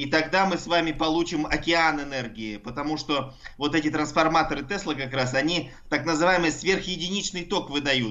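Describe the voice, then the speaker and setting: Speaking at a moderate pace in a normal speaking voice, a man keeps a fairly high pitch with ordinary pitch variation. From Russia, Altai. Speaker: university professor of engineering. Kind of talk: explanatory radio interview.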